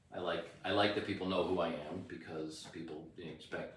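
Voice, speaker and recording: Here a man with an American accent speaks in a very deep, low pitch and a monotone, flat delivery. Audible room echo and noticeable background noise come through. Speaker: rock singer. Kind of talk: interview. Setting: on camera.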